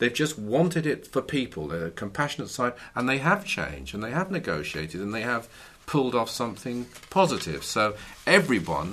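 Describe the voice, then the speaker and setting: A man's voice with vocal fry and very wide pitch swings, at a moderate pace. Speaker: podcast co-host. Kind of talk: conversational discussion. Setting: studio with audience.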